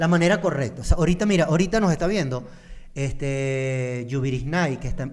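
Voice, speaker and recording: A man with an unremarkable speaking voice talks fairly fast, his fairly high pitch rising and falling in a normal way. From Venezuela. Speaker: podcast co-host. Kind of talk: casual chat. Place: studio. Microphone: studio mic.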